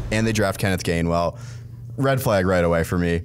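Very fast speech with ordinary pitch variation over music in the background. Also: man. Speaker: podcast host. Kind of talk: sports commentary podcast chat. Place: studio.

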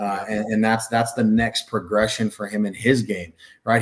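Against a quiet background, a man with an American accent talks at a fairly quick pace and a fairly low pitch. His intonation is monotone and flat. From Northern California. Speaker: basketball coach. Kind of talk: interview. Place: home room.

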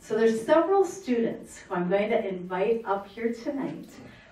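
A woman talks with lively intonation at a moderate pace. Audible room echo surrounds her voice. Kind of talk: formal public address. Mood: warm, celebratory. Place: meeting room.

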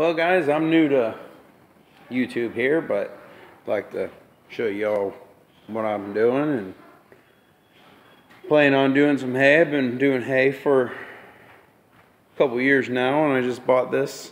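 A man at a fairly slow pace with long, frequent pauses and ordinary pitch variation. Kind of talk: casual vlog chat. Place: garage. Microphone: phone near.

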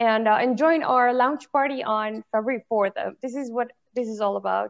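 A woman's high voice at a moderate pace with ordinary pitch variation, over a quiet background. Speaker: event moderator. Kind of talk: Q&A moderation. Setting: video call. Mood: polite, friendly. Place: home room. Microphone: video call.

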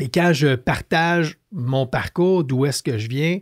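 The background is quiet. A man's words come at a very slow pace. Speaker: entrepreneur, leadership author; podcast guest. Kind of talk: casual interview. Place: studio. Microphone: studio mic.

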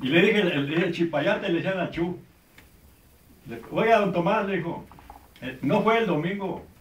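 A man speaks at a high pitch and a moderate pace, with ordinary pitch variation and long, frequent pauses. The room echo is audible, and there is light background noise. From Sonora, Mexico. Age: 80s+. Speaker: storyteller, oral history witness. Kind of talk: family conversation, oral history anecdote. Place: home room.

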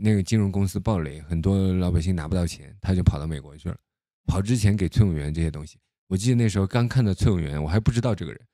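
A man with a very deep, low pitch, a dark, mellow tone, and ordinary pitch variation, with a dry sound, no echo, and a quiet background. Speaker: political commentator. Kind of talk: casual monologue commentary. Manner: halting, many fillers and repetitions. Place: home room. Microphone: studio mic.

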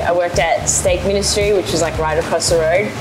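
Clear music sits in the background as a woman speaks. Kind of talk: interview answer. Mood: cheerful, animated storytelling. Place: cafe. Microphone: lapel.

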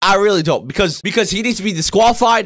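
A loud, animated man with lively intonation over a quiet background. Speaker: gaming youtuber. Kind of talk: angry rant. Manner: loud, indignant, swearing, fast and rambling; animated, exasperated. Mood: indignant, ranting. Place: home room.

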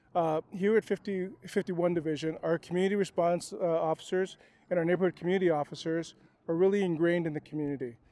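The man's voice is high-pitched with a dark, mellow tone and fairly even intonation. He talks at a very fast pace, and the sound is dry with no echo. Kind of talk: interview statement to camera. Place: open country. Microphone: handheld.

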